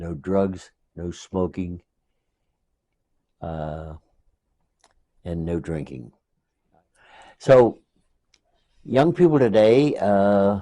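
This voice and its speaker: Speaking very slowly with an American accent, a man uses a very deep, low pitch and a dark, mellow tone, with long, frequent pauses and big swings in loudness. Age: 80s+. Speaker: war veteran. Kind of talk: oral history interview. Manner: halting.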